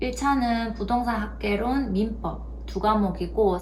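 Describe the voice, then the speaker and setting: A woman speaks in a strong Gyeongsang accent at a very slow pace, with ordinary pitch variation. Audible room echo and noticeable background noise fill the recording. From South Korea, Gyeongsang region. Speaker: youtuber, former nurse. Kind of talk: tutorial.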